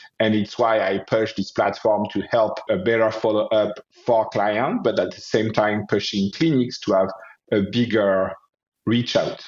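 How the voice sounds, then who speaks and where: A man speaks with a French accent. His intonation stays fairly even. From France, Paris. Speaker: osteopath and health entrepreneur. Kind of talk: interview.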